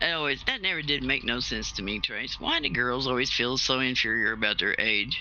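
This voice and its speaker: A man with an American accent at a fairly quick pace, over noticeable background noise. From US Southwest, New Mexico. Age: 60s. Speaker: retired salvage diver, gaming stream participant. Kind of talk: casual chat.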